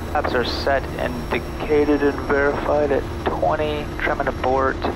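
Loud background noise runs throughout the clip. Through it, a man talks. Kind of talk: pre-takeoff checklist commentary. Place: plane. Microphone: headset.

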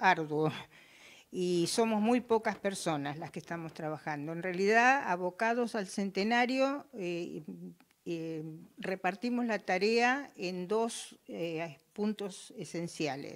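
A woman with lively intonation at a very slow pace. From Argentina. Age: 70s. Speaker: sports club cultural volunteer. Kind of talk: interview. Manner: halting. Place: home room. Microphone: handheld.

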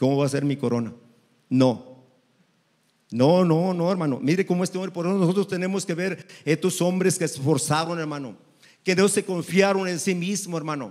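Against a quiet background, a man speaks at a moderate pace with a high pitch and ordinary pitch variation. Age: 60s. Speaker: preacher. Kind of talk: sermon. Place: church. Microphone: handheld.

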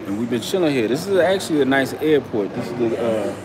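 Fast speech with big pitch swings over clear background noise. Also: man, medium pitch for a man.

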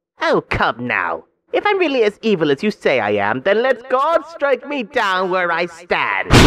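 A man performs in a put-on character voice. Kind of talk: voice-acting demo, comic villain. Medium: voice reel. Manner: smug, sneering, condescending.

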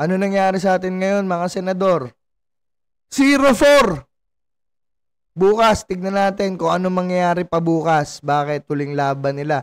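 Against a quiet background, a man talks in an animated tone at a high pitch. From Philippines. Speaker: sports vlogger. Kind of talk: angry rant, sarcastic commentary on a basketball loss. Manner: animated, exasperated, sarcastic; repeats phrases, rising volume, laughs mid-rant. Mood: frustrated, critical. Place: home room. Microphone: studio mic.

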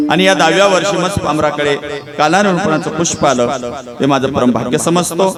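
Loudness stays very even throughout. Noticeable background noise runs underneath. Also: man, fairly high pitch for a man, ordinary pitch variation. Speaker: kirtan preacher. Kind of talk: devotional kirtan sermon.

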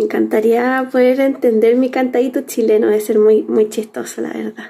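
Here a woman uses a normal speaking voice with a fairly high pitch and fairly even intonation. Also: moderate pace. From Chile. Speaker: crafts instructor. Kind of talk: tutorial. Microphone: phone near.

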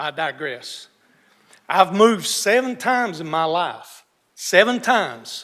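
With a North Carolina accent, a man speaks fairly slowly in a high pitch, his bright, sharp tone carrying very wide pitch swings and big swings in loudness. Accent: Southern US (North Carolina). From North Carolina (Iredell County). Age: 60s. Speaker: local resident speaking at public hearing. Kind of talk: public comment.

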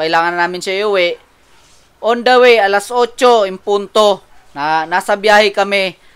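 His high pitch moves with ordinary variation as the man speaks. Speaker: vlogger. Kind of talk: angry rant, vlog. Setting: in a car. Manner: animated.

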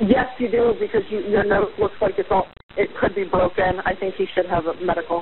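The delivery keeps a moderate pace. Behind it, background noise is noticeable. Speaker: caller. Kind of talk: emergency phone call. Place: home room. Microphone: phone line.

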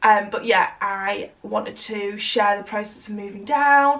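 A woman speaks at a fairly slow pace with ordinary pitch variation. Her loudness swings widely. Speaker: vlogger. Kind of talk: casual vlog chat. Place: home room. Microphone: camera far.

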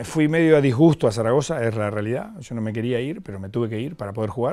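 A man talks at a very fast pace in a dark, mellow tone with ordinary pitch variation. The background is quiet. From Argentina, Mar del Plata; Argentina. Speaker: former footballer; guest. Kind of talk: interview. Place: studio. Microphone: lapel.

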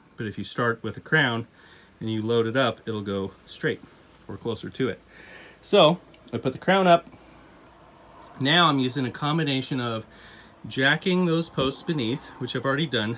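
The speaker talks at a moderate pace. Long pauses come often. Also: man. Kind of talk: tutorial. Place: home room. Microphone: phone near.

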